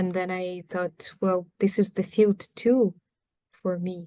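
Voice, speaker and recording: A woman speaks with a Ukrainian accent at a very slow pace. Her pitch is medium, her intonation fairly even, and the sound is dry and close with no echo. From Ukraine. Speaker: anthropologist. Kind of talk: talk on her book. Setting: video call. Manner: halting.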